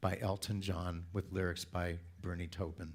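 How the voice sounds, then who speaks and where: A man with a West Coast US accent speaks amid audible room echo. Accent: General American (West Coast). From Southern California. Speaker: church speaker. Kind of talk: sermon.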